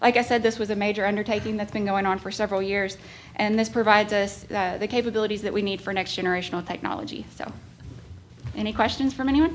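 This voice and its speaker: Music plays behind a woman talking at a very fast pace. Her intonation stays fairly even. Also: medium pitch for a woman. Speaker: 911 director. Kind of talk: public meeting report. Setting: county government meeting.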